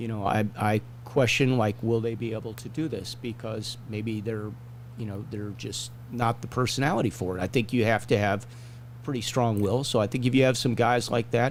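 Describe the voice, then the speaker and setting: Fairly even intonation and vocal fry mark this man's speech. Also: medium pitch for a man, moderate pace. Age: 60s. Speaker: hockey referee and show host. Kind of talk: casual chat.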